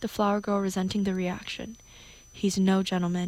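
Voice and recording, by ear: A natural voice reading aloud.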